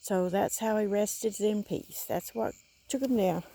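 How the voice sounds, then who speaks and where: A woman speaks quietly at a fairly slow pace in a Southern US accent, her fairly high voice dark and mellow in tone, with ordinary pitch variation. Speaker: paranormal explorer vlogger. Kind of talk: vlog walkthrough narration. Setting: outdoors at a church cemetery at night. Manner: quiet, hushed.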